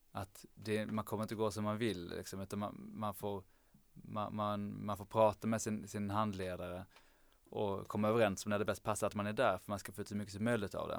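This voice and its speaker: Fairly low in pitch, a man speaks at a fairly quick pace in a monotone, flat intonation. The recording is very clean, with a silent background. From southern Sweden (Lund, Skåne). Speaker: medical student. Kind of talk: casual chat.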